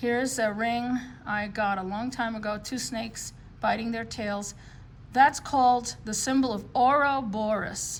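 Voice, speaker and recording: A woman with an American accent speaks at a fairly slow pace with a fairly high pitch. Her voice is somewhat breathy, and audible room echo surrounds it. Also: fairly even intonation. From New York City. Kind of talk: show-and-tell video. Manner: casual, many filler words.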